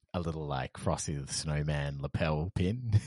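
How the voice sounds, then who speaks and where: A man with an Australian accent and a very deep, low pitch is heard with a dry, close sound with no echo. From Perth, Western Australia. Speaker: podcast host. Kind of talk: casual chat. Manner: animated.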